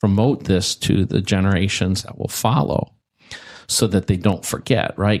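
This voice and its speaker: The recording is very clean, with a silent background. A man speaks in a very deep, low voice with fairly even intonation. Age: 60s. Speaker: former tech executive and bitcoin mining expert. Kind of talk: interview.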